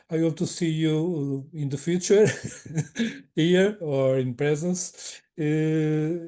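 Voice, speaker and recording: Speaking at a very slow pace, a man with a non-native accent has a fairly high pitch, a dark, mellow tone and fairly even intonation. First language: not English. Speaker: webinar moderator. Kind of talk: closing remarks of online webinar. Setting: online webinar. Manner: halting, many repetitions.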